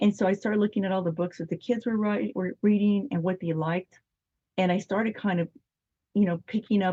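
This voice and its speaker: A woman with an American accent speaks at a medium pitch in a dark, mellow, somewhat breathy tone. The recording is dry and close, with no echo. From Arizona. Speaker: children's book author. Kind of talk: interview. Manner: halting.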